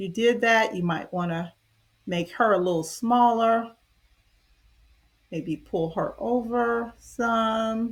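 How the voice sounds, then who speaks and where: Speaking at a very slow pace with long, frequent pauses, a woman uses a fairly high pitch with ordinary pitch variation. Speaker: online design tutorial creator. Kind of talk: tutorial. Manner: halting.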